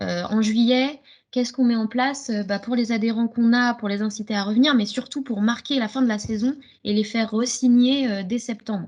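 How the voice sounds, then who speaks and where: A woman's fairly high voice, fairly even in intonation, at a fairly quick pace. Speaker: gymnastics club coach. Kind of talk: webinar presentation. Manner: fast.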